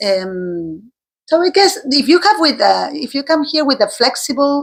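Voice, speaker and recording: A woman speaks with an Argentine accent at a fairly slow pace. Her high pitch moves in very wide swings. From Argentina. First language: Spanish. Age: 50s. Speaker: teacher. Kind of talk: interview. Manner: halting.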